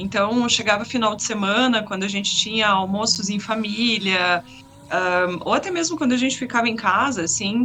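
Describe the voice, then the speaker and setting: Against noticeable background noise, the speech keeps a moderate pace with ordinary pitch variation. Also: woman. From Curitiba, southern Brazil. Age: 30s. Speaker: sim racing driver. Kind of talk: interview.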